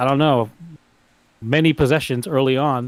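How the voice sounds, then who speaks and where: A man speaks at a moderate pace with fairly high pitch. His pitch variation is ordinary. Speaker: foosball commentator. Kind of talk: live commentary. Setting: livestream of a tournament. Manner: loud.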